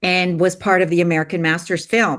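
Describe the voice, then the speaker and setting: A woman speaks in an unremarkable speaking voice at medium pitch and a moderate pace against a quiet background. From Canada. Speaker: filmmaker and producer. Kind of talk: interview.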